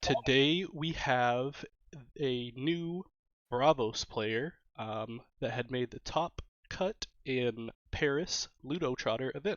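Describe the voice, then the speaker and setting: A man speaks at a medium pitch with ordinary pitch variation. His pace is very slow. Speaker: gaming channel host. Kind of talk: interview intro. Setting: recording in Paris.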